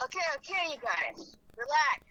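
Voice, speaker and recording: A squeaky, high-pitched put-on character voice from a woman. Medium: audio drama. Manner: gentle, soothing.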